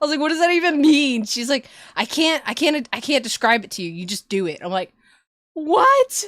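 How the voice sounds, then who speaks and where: In a very clean recording with a silent background, a woman with an American accent speaks in a high, energetic voice. Her pitch swings very widely and her loudness varies greatly. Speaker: VTuber streamer. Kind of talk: casual chat. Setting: live stream. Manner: energetic, exaggerated on stream.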